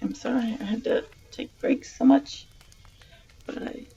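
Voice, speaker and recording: Noticeable background noise fills the clip. A woman talks fairly slowly. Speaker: streamer reading stories aloud. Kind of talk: reading aloud; casual sign-off to live stream viewers. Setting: live stream.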